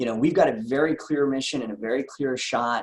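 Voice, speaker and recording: Very fast speech from a man, pitch moving in an ordinary way. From US Northeast, Philadelphia. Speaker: insurance agency owner and sales trainer. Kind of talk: sales training talk. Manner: energetic.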